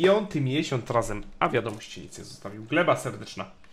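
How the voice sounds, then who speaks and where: A man's somewhat breathy voice. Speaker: game streamer. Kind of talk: casual gameplay commentary. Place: home room. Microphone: studio mic.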